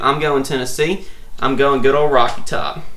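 Bright, sharp male voice in an American accent, ordinary pitch variation, with audible room echo. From Central Louisiana, then East Texas. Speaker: guest sports pundit. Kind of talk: casual sports chat.

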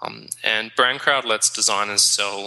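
Fairly slow speech from a man, with clear background noise around it. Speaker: startup founder. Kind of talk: interview conversation.

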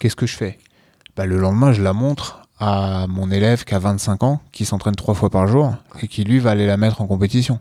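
On a very clean recording with a silent background, a man with a dark, mellow tone speaks at a fairly low pitch and moderate pace, his intonation fairly even. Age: 40s. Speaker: jiu-jitsu coach and podcast co-host. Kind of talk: casual chat.

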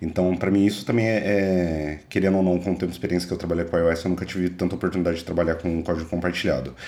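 Speaking at a very fast pace, a man with a very deep, low pitch keeps his intonation fairly even and his loudness very even. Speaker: podcast co-host, developer. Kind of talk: casual tech podcast chat.

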